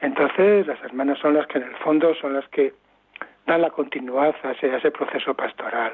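A man with an unremarkable speaking voice talks at a moderate pace. His pitch is fairly high and his intonation fairly even. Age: 60s. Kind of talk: interview. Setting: phone call.

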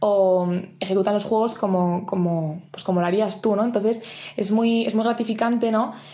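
At a moderate pace, a woman speaks with a dark, mellow tone at a fairly high pitch. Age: 20s. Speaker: camp mentor. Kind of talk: prepared talk.

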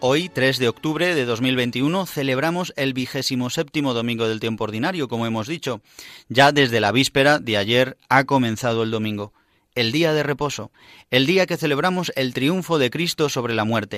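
On a very clean recording with a silent background and a dry, close sound with no echo, a man with an unremarkable speaking voice talks at a moderate pace, medium in pitch with ordinary pitch variation. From Spain, Madrid. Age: 30s. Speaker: priest, radio host. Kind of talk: radio programme presenting.

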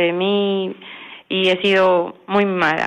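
This is a woman speaking at a medium pitch. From Spain (Valencia), born in Ecuador. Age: 20s. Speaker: prisoner on day release. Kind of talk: radio interview.

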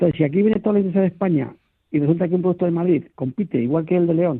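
Using ordinary pitch variation, a man talks at a very fast pace in a high pitch. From small village in Toledo, Spain. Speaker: food industry association director. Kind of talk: radio interview. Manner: halting, many repetitions.

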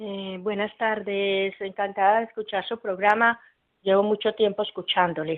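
A woman speaks at a fairly slow pace. She has a fairly high pitch and a plain, everyday voice. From Colombia. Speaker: radio caller. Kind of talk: phone-in testimony.

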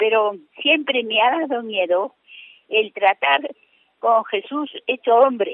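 With lively intonation and a fairly high pitch, a woman speaks at a very slow pace, leaving long, frequent pauses. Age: 80s+. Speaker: radio caller. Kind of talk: call-in question. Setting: phone call. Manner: halting.

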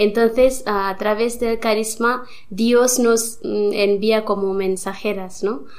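Amid audible room echo, a woman speaks at a very slow pace, fairly high in pitch with fairly even intonation. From India. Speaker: nun. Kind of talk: interview. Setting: studio. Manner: halting.

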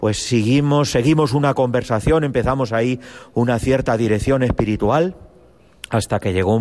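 A man's plain, everyday voice at a moderate pace, with ordinary pitch variation. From Spain, Cuenca. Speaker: priest, seminary spiritual director. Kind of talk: testimony.

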